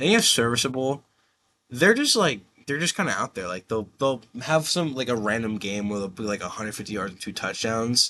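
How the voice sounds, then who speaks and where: A man speaks fairly quickly at medium pitch, with lively intonation and big swings in loudness. His is a plain, everyday voice. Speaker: sports video host. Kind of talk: casual chat.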